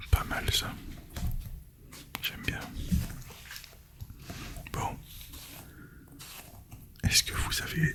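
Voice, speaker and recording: Someone whispers at a very slow pace, with long, frequent pauses and noticeable background noise behind the voice. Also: man. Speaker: ASMR creator. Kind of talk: casual ASMR talk to camera.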